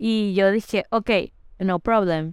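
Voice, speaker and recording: A woman at a medium pitch with ordinary pitch variation, her voice dry and close with no echo, in a very clean recording with a silent background. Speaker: podcast host. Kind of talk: casual chat.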